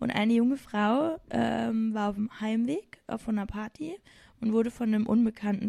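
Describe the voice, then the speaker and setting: On a very clean recording with a silent background and a dry, close sound with no echo, a woman with a Saarland accent speaks at a moderate pace, fairly high in pitch with ordinary variation, her tone dark and mellow and somewhat breathy. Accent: Saarland dialect speaker. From Saarland, Germany. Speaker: teacher, host's sister. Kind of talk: casual chat.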